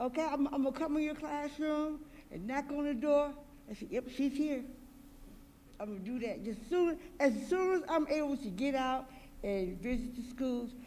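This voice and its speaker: Loud and at a moderate pace, the speaker leaves long, frequent pauses. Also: woman, high pitch for a woman, ordinary pitch variation. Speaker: school board trustee. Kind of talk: public meeting remarks.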